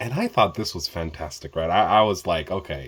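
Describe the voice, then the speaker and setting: With an American accent, a man speaks in an animated tone with ordinary pitch variation. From Ethiopia and Kenya, then raised in the US. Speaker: meditation YouTuber. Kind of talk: personal story vlog. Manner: casual, halting with repetitions and fillers.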